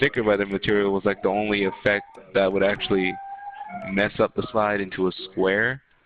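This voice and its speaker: A man speaks at a fairly quick pace in a fairly low pitch, his intonation monotone and flat and his loudness very even, with music in the background. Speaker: gaming streamer. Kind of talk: casual chat. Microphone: echo on own mic.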